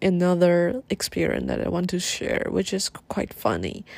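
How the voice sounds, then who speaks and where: In a Chinese accent, a woman talks. Her pace is fairly slow. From Taiwan. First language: Mandarin Chinese. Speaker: podcast host. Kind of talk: casual monologue. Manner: halting.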